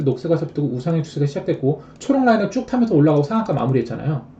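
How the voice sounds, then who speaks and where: Noticeable background noise accompanies speech delivered at a very fast pace. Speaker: stock trading streamer. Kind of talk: live stream stock chart lecture.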